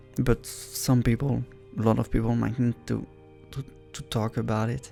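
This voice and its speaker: Over background music, a man with a non-native accent talks at a moderate pace, leaving long, frequent pauses. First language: not English. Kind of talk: casual talk to camera, reaction commentary. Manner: supportive, warm, encouraging.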